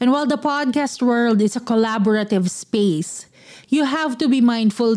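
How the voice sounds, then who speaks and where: With a Filipino accent, this speaker talks at a moderate pace in a dark, mellow tone with ordinary pitch variation. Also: woman. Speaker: podcast host. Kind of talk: casual chat.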